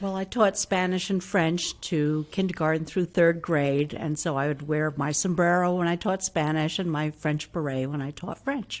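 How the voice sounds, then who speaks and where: At a moderate pace, a woman speaks in an upstate New York accent. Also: very clean recording, silent background. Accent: US Northeast (upstate New York). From Hudson, New York, US. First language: Italian. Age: 60s. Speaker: retired language teacher. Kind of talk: interview.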